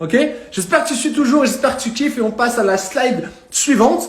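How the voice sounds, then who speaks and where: A man talks at a fairly quick pace with lively intonation and an extremely high pitch for a man. The recording carries audible room echo and noticeable background noise. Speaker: fitness and nutrition coach. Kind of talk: live stream talk. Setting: live stream. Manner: fast.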